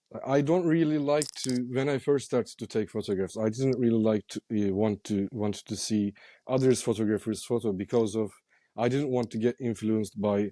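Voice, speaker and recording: A man's dark, mellow voice at medium pitch, with ordinary pitch variation and a moderate pace, dry and close with no echo against a quiet background. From Turkey, Istanbul. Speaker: street photographer. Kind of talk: interview. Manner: halting.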